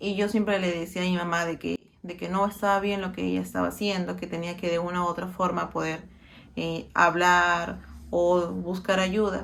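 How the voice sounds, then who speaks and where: A woman with a Peruvian accent at a moderate pace. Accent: Peruvian Spanish (Lima). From Peru, Lima. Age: 30s. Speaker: interviewee sharing personal experience. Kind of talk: personal testimony. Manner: halting, many fillers.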